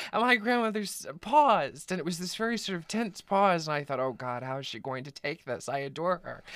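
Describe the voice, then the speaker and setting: With an American accent, a man talks fairly quickly with hardly any pauses, his high voice making very wide pitch swings. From US South, East Texas. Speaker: author. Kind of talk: interview.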